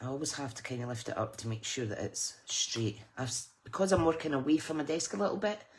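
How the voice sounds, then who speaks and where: Over noticeable background noise, a woman with a very deep, low pitch talks very fast with hardly any pauses, very wide pitch swings, and big swings in loudness. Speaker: card making crafter. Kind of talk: live stream tutorial. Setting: craft room live stream. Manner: casual, chatty.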